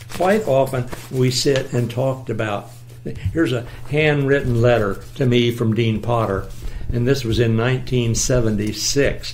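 Noticeable background noise sits behind a man speaking at a medium pitch and a fairly slow pace with fairly even intonation. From US Midwest. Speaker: retired engineering professor. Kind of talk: oral history interview. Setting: at home.

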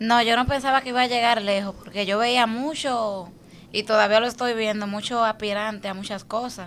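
Over light background noise, a woman speaks with fairly even intonation. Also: fairly high pitch for a woman, moderate pace. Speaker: social media personality. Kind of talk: interview. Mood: relaxed, reflective. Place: studio. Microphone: studio mic.

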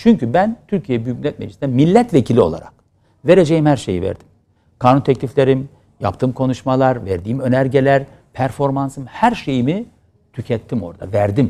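Lively in intonation, a man speaks at a medium pitch and moderate pace. His tone is dark and mellow. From Turkey. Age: 50s. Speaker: opposition politician and pediatrics professor; opposition politician, pediatrics professor. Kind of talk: TV interview. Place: studio.

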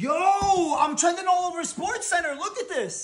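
A man is speaking. His delivery moves at a moderate speed. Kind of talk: comedy skit dialogue. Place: home room.

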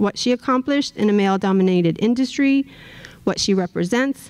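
A woman with an American accent and a plain, everyday voice talks at a medium pitch with ordinary pitch variation against a quiet background. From South Texas. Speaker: professor. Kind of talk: lecture. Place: hall. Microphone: podium.

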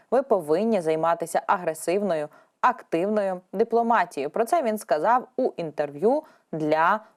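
A woman speaks in a plain, everyday voice at a medium pitch. Her pace is moderate and her intonation lively. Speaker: news presenter. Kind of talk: news reading.

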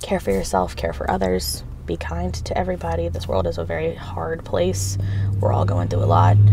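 A woman talks in a very deep, low pitch. The sound is dry with no echo, though there is noticeable background noise. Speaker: vlogger. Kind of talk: casual vlog chat. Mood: warm, caring, emotional. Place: car. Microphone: phone near.

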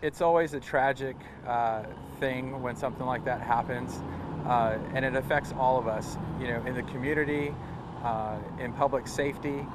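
Long, frequent pauses break a moderate pace, the sound dry with no echo but with noticeable background noise. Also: man. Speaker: fire agency spokesman. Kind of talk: interview answer. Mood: sombre but composed. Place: street.

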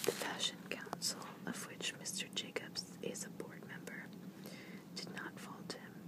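Loud background noise fills the clip. The speaker goes at a fairly slow pace. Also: dry sound with no echo. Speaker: whisper video creator. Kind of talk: whispered ASMR reading of a newspaper article. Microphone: phone near.

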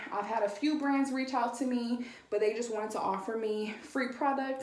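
A woman speaks at a fairly high pitch and a moderate pace. Audible room echo is present. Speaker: influencer. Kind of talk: casual talk to camera. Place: bathroom. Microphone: phone near.

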